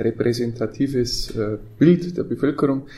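The man's voice has a dark, mellow tone. It sounds somewhat breathy. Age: 40s. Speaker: mayor. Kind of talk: casual chat.

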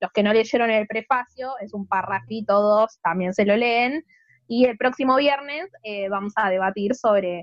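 In a Rioplatense accent, a woman talks at a moderate pace. Her fairly high pitch shows ordinary variation. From Argentina, Buenos Aires. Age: 30s. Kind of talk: casual chat.

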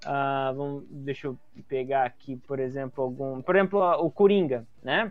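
At a moderate pace, a plain, everyday voice carries lively intonation. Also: man. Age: 20s. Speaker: comedian and illustrator. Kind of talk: casual chat.

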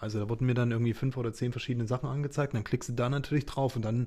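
Somewhat breathy, a man speaks at a medium pitch with a dark, mellow tone and fairly even intonation. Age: 30s. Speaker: business partner, marketing guest. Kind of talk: casual interview chat.

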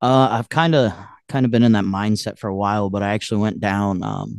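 A fairly low-pitched man with a Midwestern American accent, at a fairly quick pace with ordinary pitch variation. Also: quiet background. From US Midwest, northwest Ohio. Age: 20s. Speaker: country singer-songwriter. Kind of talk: casual interview chat.

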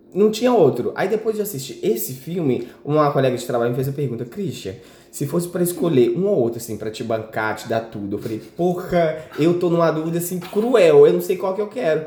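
Amid noticeable background noise and audible room echo, a man talks at a fairly quick pace in a fairly high pitch with very wide pitch swings. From Minas Gerais, Brazil. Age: 20s. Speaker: podcast guest, friend of host. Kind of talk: casual chat.

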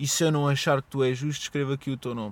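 A man speaks in a European Portuguese accent at a fairly high pitch. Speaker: podcaster. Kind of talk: solo monologue podcast. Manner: stuttering, hesitant; casual, rambling.

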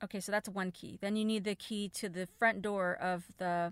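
A woman speaks in an animated tone at a medium pitch and moderate pace. The sound is dry and close with no echo, and the background is silent in a very clean recording. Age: 40s. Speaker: travel podcast host. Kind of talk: casual solo monologue.

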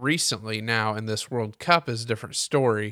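A man with an American accent speaks in a normal speaking voice at a medium pitch and moderate pace, with fairly even intonation. The sound is dry and close with no echo, on a very clean recording with a silent background. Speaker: podcast host. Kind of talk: solo sports podcast recap. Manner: conversational, opinionated, filler-heavy; self-correcting.

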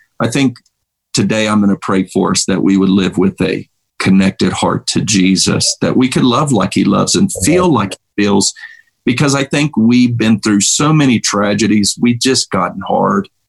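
With a dry, close sound and no echo, a man speaks at a moderate pace in a fairly low pitch, his intonation lively and his loudness very even. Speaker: pastor and Bible teacher. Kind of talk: casual interview with prayer. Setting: video call.

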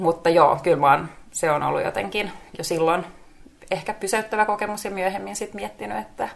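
There is vocal fry in this woman's voice as she speaks at a moderate pace. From Finnish Lapland (Rovaniemi). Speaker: former model, positive psychology coach. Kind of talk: interview.

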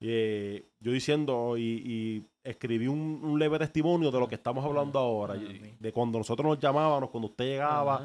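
A plain, everyday voice belongs to a man speaking at a medium pitch and a fairly quick pace with hardly any pauses. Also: ordinary pitch variation. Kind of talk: casual interview.

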